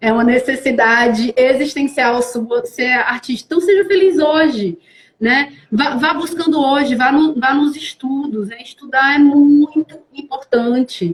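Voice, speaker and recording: Here a woman speaks with a northeastern Brazilian accent. Her voice is high, with ordinary pitch variation, and her pace is fairly slow. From Brazil, Fortaleza, Ceará (Northeast). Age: 30s. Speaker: actress. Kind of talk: live-stream interview. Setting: online live stream.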